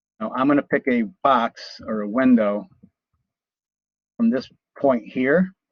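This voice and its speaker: Pausing long and often, a man talks at a fairly slow pace and medium pitch with ordinary pitch variation. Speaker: college instructor teaching drafting software. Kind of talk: live class tutorial. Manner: casual, conversational.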